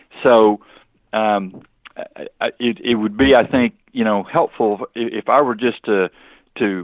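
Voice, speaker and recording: Using a normal speaking voice, a man talks at a fairly slow pace with fairly low pitch and ordinary pitch variation. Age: 60s. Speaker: author and former business consultant. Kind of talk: interview.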